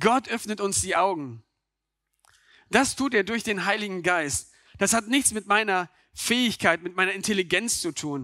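A raised, projected voice with a bright, sharp tone, at a moderate pace with ordinary pitch variation and long, frequent pauses, in a very clean, dry, close recording with no echo and a silent background. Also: man, high pitch for a man. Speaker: preacher. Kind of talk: sermon to a church congregation. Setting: church with microphone and congregation. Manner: earnest, direct, addressing listeners as 'du'; conversational, with rhetorical questions and occasional stumbles.

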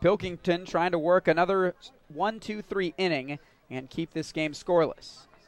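A high-pitched male voice with ordinary pitch variation, dry and close with no echo, over music in the background. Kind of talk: live commentary. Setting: ballpark broadcast. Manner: brisk, play-by-play delivery.

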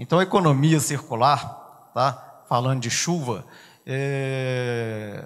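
With a quiet background behind him, a man talks at a medium pitch, his pitch variation ordinary. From Belo Horizonte, Minas Gerais, Brazil. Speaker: business association leader; guest. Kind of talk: conference talk. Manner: conversational. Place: hall. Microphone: handheld.

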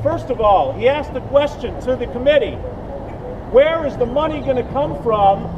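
Over noticeable background noise, a man speaks at an extremely high pitch. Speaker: speaker. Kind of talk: public speech. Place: street. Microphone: camera far.

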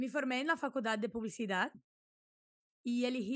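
Against a quiet background, a woman speaks high and fairly quickly, the sound dry with no echo. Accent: Portuguese. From southern Brazil, Santa Maria; southern Brazil. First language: Portuguese (speaking Spanish). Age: 20s. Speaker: food and product photographer; podcast guest. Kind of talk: podcast interview; interview answer. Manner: hesitant, with fillers. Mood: friendly, smiling. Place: home room. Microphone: studio mic.

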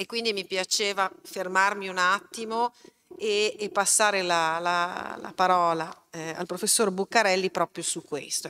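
Her tone bright and sharp, a woman talks at a fairly slow pace with fairly even intonation. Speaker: event moderator and university lecturer; event moderator, university lecturer. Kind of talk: public talk moderation. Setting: stage with live audience, streamed. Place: hall. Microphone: podium.

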